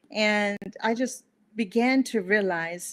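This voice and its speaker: This woman speaks with a fairly high pitch and ordinary pitch variation. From Bolivia, raised in Montana from age five. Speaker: guest speaker on personal growth. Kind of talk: interview, personal story. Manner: animated storytelling.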